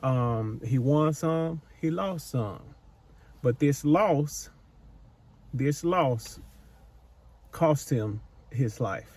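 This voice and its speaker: A man speaks at a very slow pace, his voice somewhat breathy. He leaves long, frequent pauses. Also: medium pitch for a man, ordinary pitch variation. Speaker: psychic medium / channel host. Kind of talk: intuitive spirit-medium session to camera. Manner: casual, rambling, conversational.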